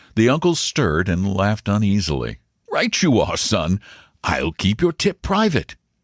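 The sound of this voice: Over a quiet background, the words come in an unforced reading voice.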